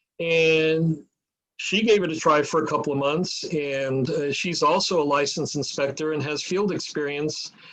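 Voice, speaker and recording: A man's fairly high voice with fairly even intonation, and audible room echo. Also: moderate pace. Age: 70s. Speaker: mold inspection business owner. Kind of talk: interview.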